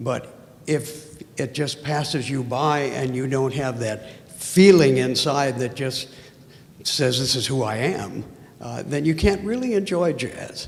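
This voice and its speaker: A man at a medium pitch, fairly slow pace and ordinary pitch variation, with audible room echo and noticeable background noise. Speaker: audience member asking question. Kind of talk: audience Q&A.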